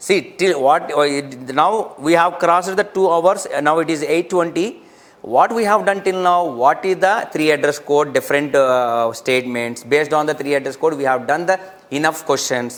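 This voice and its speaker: A man talks at a moderate pace in a plain, everyday voice. His pitch is fairly high, with ordinary pitch variation. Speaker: online teacher of compiler design. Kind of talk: live online lecture.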